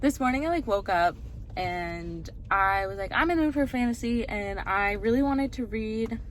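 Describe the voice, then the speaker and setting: Lively intonation runs through a normal speaking voice. The pace is moderate. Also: woman. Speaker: booktuber, bookstore worker. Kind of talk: casual vlog. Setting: in a car.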